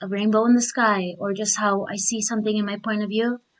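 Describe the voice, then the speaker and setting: With a non-native accent, a woman speaks at a medium pitch and moderate pace in a monotone, flat intonation. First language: not English. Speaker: discussion participant. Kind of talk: casual group discussion.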